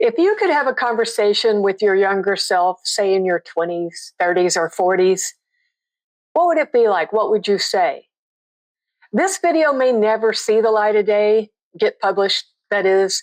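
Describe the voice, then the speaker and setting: Lively intonation from a woman with an ordinary speaking voice, fairly high in pitch, at a moderate pace against a quiet background. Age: 60s. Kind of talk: casual talk to camera.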